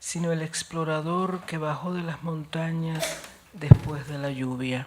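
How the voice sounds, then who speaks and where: A woman talking at a very slow pace. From Cuba. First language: Spanish (speaking French). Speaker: poet. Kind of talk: poetry reading.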